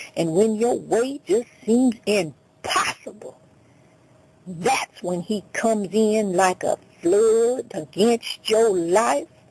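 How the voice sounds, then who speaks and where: A woman's fairly high, lively voice at a very slow pace, with noticeable background noise. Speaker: radio preacher. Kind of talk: sermon preached on radio.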